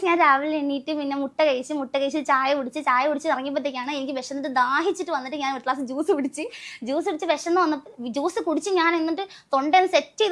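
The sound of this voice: A high woman's voice, its pitch varying in an ordinary way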